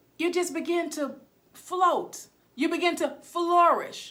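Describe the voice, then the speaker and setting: This woman's voice is raised and projected, with extremely high pitch. Her tone is bright, sharp and animated. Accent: American. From Texas (Waco, rural). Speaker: motivational speaker and teacher. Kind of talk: motivational teaching live stream. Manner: loud.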